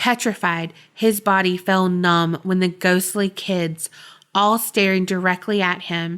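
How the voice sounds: The reading voice sounds natural. Its intonation is fairly even throughout.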